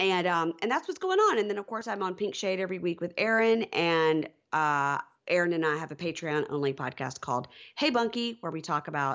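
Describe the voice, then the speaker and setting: A woman's fairly low, a normal speaking voice, at a fairly quick pace with lively intonation. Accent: American. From US South, Mississippi. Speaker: podcast host. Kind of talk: casual chat.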